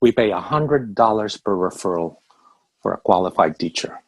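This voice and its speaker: A man speaks with a Filipino accent and very wide pitch swings. The sound is dry and close, with no echo. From Philippines. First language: Tagalog. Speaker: business owner. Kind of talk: orientation call presentation. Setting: video call. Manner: fast; animated.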